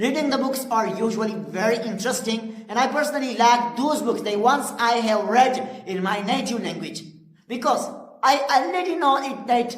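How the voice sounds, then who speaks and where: A woman speaks at a moderate pace in a fairly high voice with ordinary pitch variation, with noticeable background noise and audible room echo. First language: Pashto. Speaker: English teacher. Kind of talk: tutorial. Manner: halting, with frequent fillers.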